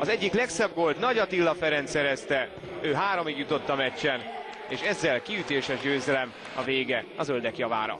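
Noticeable background noise runs under a voice with lively intonation and very even loudness. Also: man, fairly high pitch for a man, moderate pace. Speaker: sports commentator. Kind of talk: live match commentary and summary.

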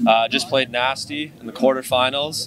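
A man's voice, dry with no echo, over music in the background. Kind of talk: post-match interview answer. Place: open country. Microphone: handheld.

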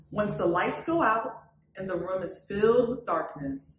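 With audible room echo, a woman speaks fairly slowly at a medium pitch, her tone fairly bright and her intonation lively.

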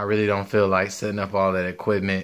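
The tone is bright and sharp against a quiet background. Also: man. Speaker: sports channel creator. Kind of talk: casual vlog chat. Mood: grateful, relaxed. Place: home room. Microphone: phone near.

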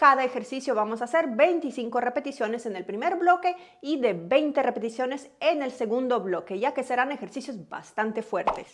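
This woman has a high pitch and talks at a moderate pace with hardly any pauses. The background is quiet. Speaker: fitness coach. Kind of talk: tutorial intro to camera. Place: home room. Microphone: lapel.

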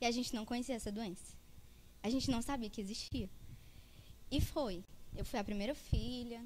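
Long, frequent pauses break up speech at a moderate pace with ordinary pitch variation over light background noise. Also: woman. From Fortaleza, Ceará, Brazil. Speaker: food entrepreneur and student. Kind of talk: conference presentation. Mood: personal, earnest story. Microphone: handheld.

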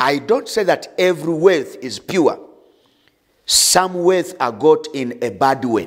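Over a quiet background, a man speaks at a very slow pace. His pitch swings very widely, and vocal fry runs through his voice. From Uganda. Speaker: pastor. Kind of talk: sermon; prayer. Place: studio. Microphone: lapel.

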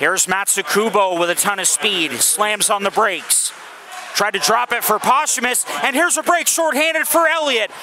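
A man talks at a moderate pace in a high voice with very wide pitch swings, over noticeable background noise. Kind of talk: live hockey play-by-play commentary.

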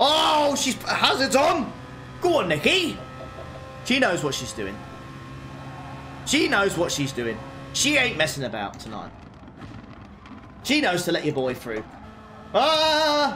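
Over music in the background, a man speaks at a fairly slow pace with long, frequent pauses, and the room echo is audible. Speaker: sim racing streamer. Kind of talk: live gameplay commentary. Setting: live stream. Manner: animated.

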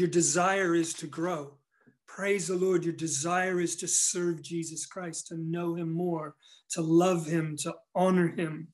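Against a quiet background, a man with a high voice speaks fairly slowly in a flat monotone. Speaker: pastor. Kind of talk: sermon. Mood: earnest, encouraging. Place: home room. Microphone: phone near.

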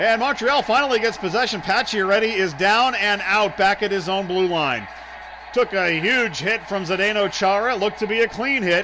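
Over noticeable background noise, a man speaks in a high, raised, projected voice. His tone is animated, with ordinary pitch variation. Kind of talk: live commentary. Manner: fast-paced, rapid-fire play-by-play delivery; animated, rising excitement on goals.

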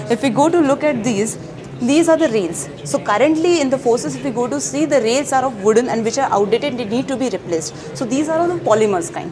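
A woman's high voice at a very fast pace, pitch swinging very widely, over noticeable background noise. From India. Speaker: university project officer; presenter. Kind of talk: interview at an exhibit, explaining products. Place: hall. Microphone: lapel.

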